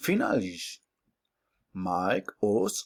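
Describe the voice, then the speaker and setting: The speaker has a Spanish accent and goes at a very slow pace. The sound is dry and close, with no echo. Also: man. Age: 20s. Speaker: mathematics student. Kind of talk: oral class presentation. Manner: halting.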